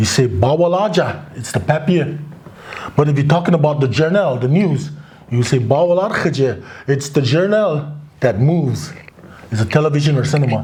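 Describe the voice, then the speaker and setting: Amid audible room echo and noticeable background noise, a man with a fairly high voice and lively intonation talks at a moderate pace with long, frequent pauses. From Crow reservation, Montana, US. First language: Crow (Apsaalooke). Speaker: author. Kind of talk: interview. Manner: hesitant, many fillers.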